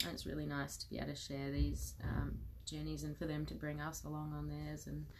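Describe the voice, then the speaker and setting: The speech comes at a fairly quick pace. Audible room echo surrounds it. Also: woman. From South Australia, Adelaide Hills. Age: 30s. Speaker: outdoor education teacher. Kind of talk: casual interview.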